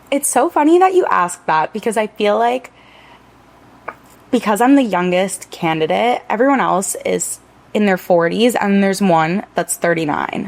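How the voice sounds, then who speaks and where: Amid noticeable background noise, a woman with an American accent speaks at a moderate pace and medium pitch with lively intonation. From Miami Beach, Florida. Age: 20s. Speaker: local political candidate. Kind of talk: podcast interview. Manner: casual, chatty.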